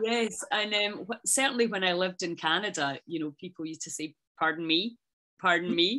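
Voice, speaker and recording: A woman with a Scottish accent speaks at a medium pitch. Her pace is fairly quick and her intonation lively. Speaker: interviewer. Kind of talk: interview.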